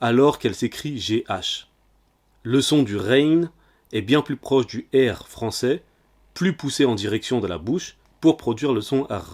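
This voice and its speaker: The recording is very clean, with a silent background. A man talks fairly slowly at a medium pitch, his intonation lively. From French-speaking country. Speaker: religious teacher. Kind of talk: tutorial. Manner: formal.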